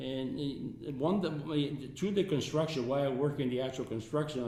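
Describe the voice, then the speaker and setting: At a moderate pace, a man talks in a fairly high pitch with ordinary pitch variation, and room echo is audible. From Italy. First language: Italian. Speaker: resort founder and businessman. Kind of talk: interview. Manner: halting.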